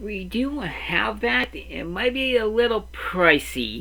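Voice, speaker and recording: Someone performs a put-on character voice at a fairly slow pace. Background noise is noticeable. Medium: actual play.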